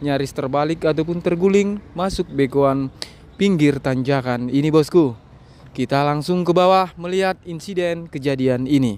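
A man speaks at a moderate pace with ordinary pitch variation, and the sound is dry with no echo. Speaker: channel host filming. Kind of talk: commentary. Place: street. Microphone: phone near.

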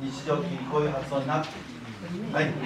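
There is audible room echo and noticeable background noise as a man speaks. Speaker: library director. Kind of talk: public lecture. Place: hall. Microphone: camera far.

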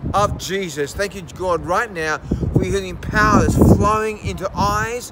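A man's intense tone with an Australian accent, at a moderate pace over loud background noise. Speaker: healing evangelist. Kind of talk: fervent healing prayer with commands and decrees, delivered to camera. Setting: video recording addressed to viewers. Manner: intense, insistent, repeating commands like 'right now'. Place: waterside. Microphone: phone near.

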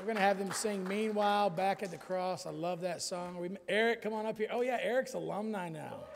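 Light background noise sits behind a man with a high pitch. He keeps a moderate pace and a fairly even intonation. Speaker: preacher. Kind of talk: sermon and church announcements. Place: church.

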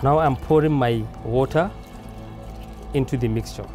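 Fairly slow speech from a man, music playing in the background. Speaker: cooking show host. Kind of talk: tutorial. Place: garden.

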